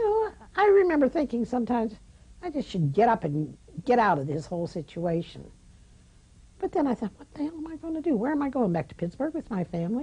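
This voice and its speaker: Talking at a very fast pace, a woman with a high voice and a dark, mellow tone swings widely in both pitch and loudness. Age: 80s+. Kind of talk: interview answer. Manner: reflective, conversational.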